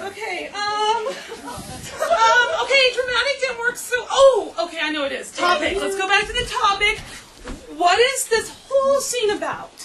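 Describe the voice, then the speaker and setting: Over noticeable background noise, a woman speaks fairly slowly in a raised, projected voice. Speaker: drama coach. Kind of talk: instruction to a group. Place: hall. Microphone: camera far.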